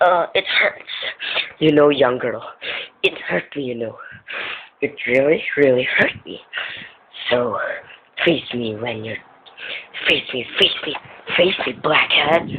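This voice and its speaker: Using a put-on character voice, a man speaks at a fairly slow pace in a fairly high pitch. His pauses are long and frequent. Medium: voice reel.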